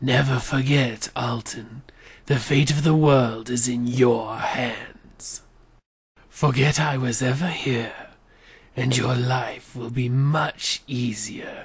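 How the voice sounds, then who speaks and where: At a very slow pace, the speaker uses a put-on character voice with a low-to-middle pitch. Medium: voice reel. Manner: grave, solemn.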